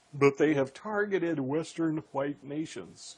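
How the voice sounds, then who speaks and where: With an American accent and vocal fry, a man speaks at a fairly high pitch with ordinary pitch variation. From US Midwest, Indiana. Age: 60s. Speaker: radio host. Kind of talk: political talk radio interview. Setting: radio show.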